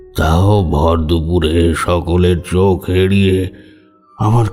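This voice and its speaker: Over clear background music, a man uses a put-on character voice pitched very deep and low. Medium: audio drama. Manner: heavy, sorrowful.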